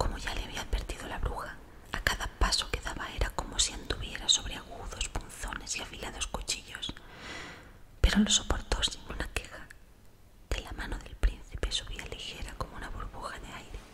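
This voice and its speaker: Whispering in a gentle tone at a moderate pace, a woman shows big swings in loudness over noticeable background noise. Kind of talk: sleep story. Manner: whispered; soft-spoken, gentle.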